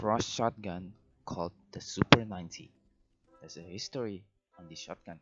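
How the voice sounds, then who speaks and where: Music plays in the background as the speaker talks with a non-native accent. The pace is moderate, with ordinary pitch variation. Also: man. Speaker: gaming video creator. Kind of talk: scripted narration.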